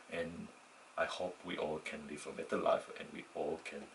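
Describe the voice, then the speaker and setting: A man with a non-native accent speaks at a fairly slow pace. Noticeable background noise is present. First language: not English. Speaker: student vlogger. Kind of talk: unscripted personal monologue. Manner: halting, with false starts and self-corrections.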